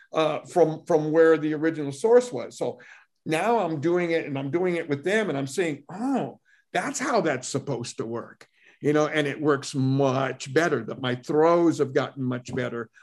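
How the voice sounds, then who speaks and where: Against a quiet background, a man with a plain, everyday voice talks at a fairly slow pace, his pitch fairly high with ordinary variation. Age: 60s. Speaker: martial arts instructor. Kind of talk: casual interview chat.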